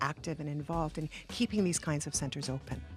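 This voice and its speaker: Over music in the background, a woman speaks with a very deep, low pitch. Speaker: interviewer. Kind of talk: interview. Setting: community center back room.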